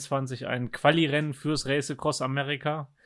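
Here a man is speaking. His pitch sits fairly high. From Germany. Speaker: ultra-cyclist. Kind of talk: casual interview. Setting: remote call.

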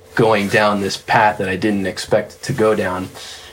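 A monotone, flat delivery runs at a moderate pace with noticeable background noise. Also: man. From South Florida. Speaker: session drummer. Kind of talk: casual interview. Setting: studio.

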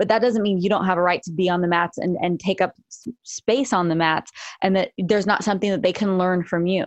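A woman with an unremarkable speaking voice talks fairly quickly, her medium pitch varying in an ordinary way. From Los Angeles area. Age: 40s. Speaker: jiu-jitsu and self-defense instructor. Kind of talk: casual chat.

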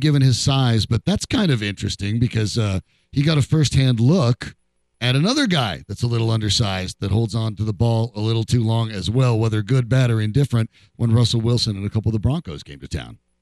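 The sound is dry and close with no echo as a man speaks in a plain, everyday voice. His pitch is medium, his pace fairly quick and his intonation lively. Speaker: sports radio host. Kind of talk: casual chat. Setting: studio.

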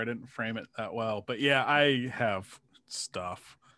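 Using a normal speaking voice, a man talks in a medium register, his pitch varying in an ordinary way. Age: 40s. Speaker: sportswriter. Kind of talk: casual chat.

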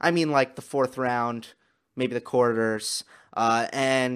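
A man with an American accent speaks fairly slowly in a normal speaking voice, pitched fairly high. The recording is very clean, with a silent background. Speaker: tennis podcaster. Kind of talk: solo podcast analysis. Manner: casual, with fillers.

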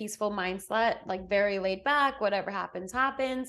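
Against a quiet background, a woman with fairly high pitch talks at a moderate pace with ordinary pitch variation. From Botswana and England. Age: 30s. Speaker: podcast co-host. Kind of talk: casual chat.

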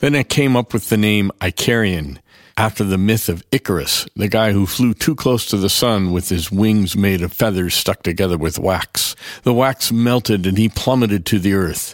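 In a normal speaking voice with an American accent, a man talks at fairly low pitch, a moderate pace, and ordinary pitch variation, his loudness very even. The very clean recording has a silent background and a dry, close sound with no echo. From US, small town. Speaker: film composer and musician. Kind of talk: scripted narration.

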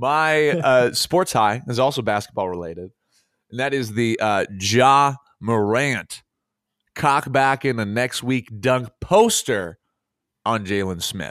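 A man with a medium-pitched voice talks very slowly in an upbeat tone with lively intonation, on a very clean recording with a silent background. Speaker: sports podcast host. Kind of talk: casual chat. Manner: upbeat, joking.

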